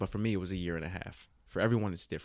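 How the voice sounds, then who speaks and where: A fairly low-pitched man with an American accent, very fast, with ordinary pitch variation. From Jersey City, New Jersey. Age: 30s. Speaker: young adult minister. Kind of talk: casual interview, personal testimony.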